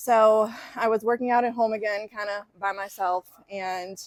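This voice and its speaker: A woman with an American accent speaks at a moderate pace and medium pitch, her intonation monotone and flat. The sound is dry and close, with no echo. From Chicago suburbs. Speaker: fitness coach. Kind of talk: casual interview.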